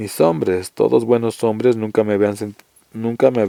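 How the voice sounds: A natural reading voice is heard over a quiet background.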